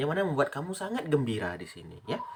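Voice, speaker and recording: Over noticeable background noise, a man speaks very fast at a fairly high pitch with very wide pitch swings. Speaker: tarot reader. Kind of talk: tarot reading. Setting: at home. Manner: loud.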